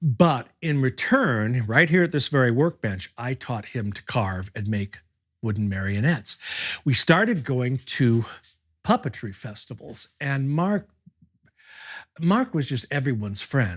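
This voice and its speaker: On a very clean recording with a silent background, a man speaks at a fairly slow pace and medium pitch, somewhat breathy, with lively intonation. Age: 60s. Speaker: puppeteer. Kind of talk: documentary interview.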